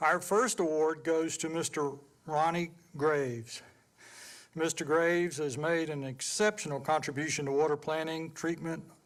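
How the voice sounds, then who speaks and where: This speaker has a Southern US accent, a moderate pace and fairly even intonation. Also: man. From US South, Georgia. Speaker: past chairman of a water board, award presenter. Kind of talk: award presentation, partly reading aloud.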